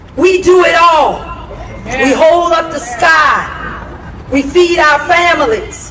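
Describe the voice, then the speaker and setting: A woman speaks at an extremely high pitch with lively intonation. Audible room echo and light background noise surround her. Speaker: pastor. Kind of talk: public speech. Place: street.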